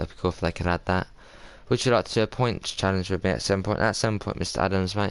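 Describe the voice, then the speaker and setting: A very fast man's voice, very deep and low, with a southern English accent and ordinary pitch variation. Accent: southern English, South Coast. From southern England, Sussex. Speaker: game streamer. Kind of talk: casual live stream chat with gameplay.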